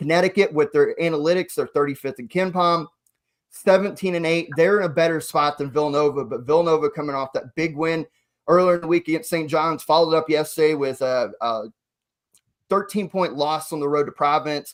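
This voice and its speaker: This man has an ordinary speaking voice, fairly high in pitch, with fairly even intonation. The recording is very clean, with a silent background. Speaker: college basketball podcast host. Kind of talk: casual sports podcast chat.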